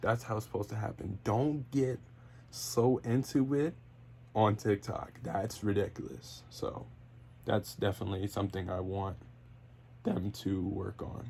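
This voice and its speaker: A man with a dark, mellow tone and vocal fry speaks at a fairly slow pace, his pitch swinging very widely between long, frequent pauses. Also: fairly low pitch for a man. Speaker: wrestling podcaster and YouTuber. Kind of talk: casual solo podcast monologue. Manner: stutters, fillers, free-flowing; off the cuff.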